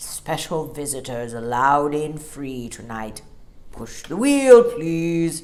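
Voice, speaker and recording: A gruff, put-on character voice. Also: woman, very deep, low pitch for a woman, fairly slow pace. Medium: read story. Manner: gruff but friendly.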